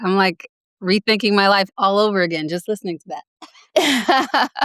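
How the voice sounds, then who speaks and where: In an American accent, a woman with an unremarkable speaking voice talks at medium pitch and a moderate pace, her intonation lively, the sound dry and close with no echo. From US South, Greenville, South Carolina. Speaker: writer and former apparel designer. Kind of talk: podcast interview. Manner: casual, many fillers.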